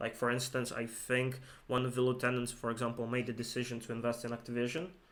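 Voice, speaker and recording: At a very fast pace, a man with a non-native accent speaks at a medium pitch in a flat, monotone delivery. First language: not English. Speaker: investing video co-host. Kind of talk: casual investment discussion. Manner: halting, many fillers and repeats.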